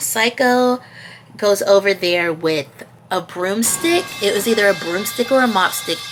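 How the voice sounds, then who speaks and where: Against music in the background, a woman speaks at medium pitch and a fairly slow pace with lively intonation. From Georgia, USA. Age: 20s. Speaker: YouTuber. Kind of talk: casual storytime talk to camera.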